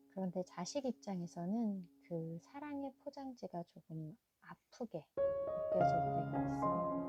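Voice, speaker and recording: Soft-spoken and calm in tone, a woman talks at a fairly slow pace with music in the background, the sound dry and close with no echo. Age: 40s. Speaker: mother of two. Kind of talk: heartfelt personal talk to viewers. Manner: soft-spoken, calm.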